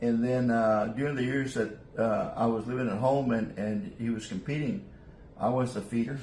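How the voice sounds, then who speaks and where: This man has a South Texas accent and a medium pitch. Noticeable background noise and audible room echo fill the recording. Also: fairly even intonation, moderate pace. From South Texas (Rio Grande Valley). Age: 70s. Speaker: gamefowl breeder. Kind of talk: interview. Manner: halting.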